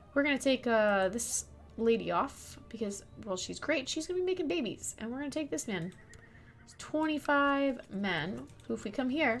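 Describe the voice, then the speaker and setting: Soft-spoken and high-pitched, a woman talks at a moderate pace with very wide swings in pitch. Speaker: gaming streamer. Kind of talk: game tutorial commentary.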